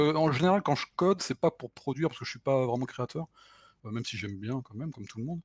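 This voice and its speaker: A somewhat breathy man at medium pitch, with ordinary pitch variation, in a dry, close sound with no echo. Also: very clean recording, silent background. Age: 40s. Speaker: self-taught retro console programmer. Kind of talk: technical interview.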